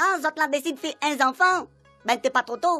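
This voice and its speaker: A put-on character voice moves at a fairly quick pace over faint background music, the sound dry and close with no echo. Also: woman. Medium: audio drama. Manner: teasing, casual.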